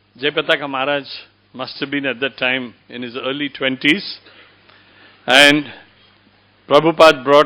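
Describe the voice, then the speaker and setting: With a bright, sharp tone, a man speaks in a monotone, flat intonation at a moderate pace, showing big swings in loudness and long, frequent pauses. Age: 70s. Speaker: temple member introducing the speaker. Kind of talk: formal introduction speech.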